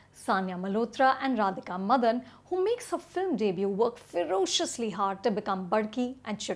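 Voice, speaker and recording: A woman with an unremarkable speaking voice talks at a fairly quick pace with hardly any pauses. Her voice sits fairly high and her intonation is lively. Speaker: film critic. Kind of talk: movie review to camera.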